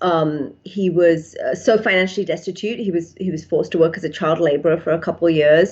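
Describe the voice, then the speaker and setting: A woman with an English accent talks with hardly any pauses. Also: fairly low pitch for a woman. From England. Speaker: psychiatrist. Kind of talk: interview. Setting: podcast.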